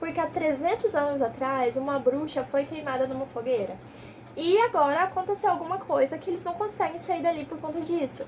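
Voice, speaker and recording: Animated, lively intonation at a fairly quick pace, over noticeable background noise. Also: woman, high pitch for a woman. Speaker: book youtuber. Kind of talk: casual book review vlog. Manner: fast.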